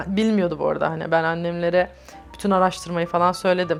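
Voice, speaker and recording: Monotone, flat delivery over music in the background. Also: woman. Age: 30s. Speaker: LGBTI+ activist. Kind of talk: oral history interview answer.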